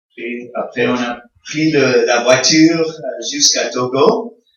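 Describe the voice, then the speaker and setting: A man's fairly even intonation comes through with audible echo from the room. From Congo (American missionary family). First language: English (speaking French). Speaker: visiting pastor. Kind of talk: sermon. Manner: halting, many hesitations.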